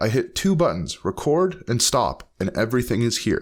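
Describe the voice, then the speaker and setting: Lively intonation marks this man's medium-pitched speech. The recording is very clean, with a silent background. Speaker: teacher giving online tech tutorials. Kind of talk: tutorial. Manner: fast; halting.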